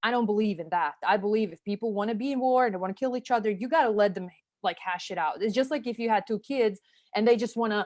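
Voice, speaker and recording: Very fast speech with a Serbian accent over a quiet background. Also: woman, fairly high pitch for a woman, ordinary pitch variation. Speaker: marketing consultant, former special forces officer. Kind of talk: interview conversation. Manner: casual, filler-heavy. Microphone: audio delay on call.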